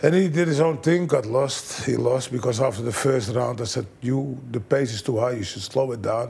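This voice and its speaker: A man at medium pitch, moderate pace and ordinary pitch variation, with hardly any pauses and noticeable background noise. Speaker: kickboxing trainer. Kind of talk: interview.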